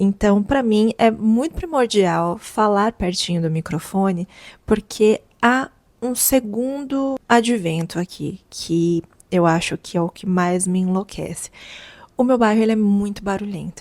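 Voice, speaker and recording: A soft-spoken woman at a medium pitch talks at a fairly slow pace with ordinary pitch variation, in a very clean recording with a silent background and a dry, close sound free of echo. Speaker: content creator. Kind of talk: casual vlog talk. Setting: at home, apartment. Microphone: lavalier mic held close to mouth.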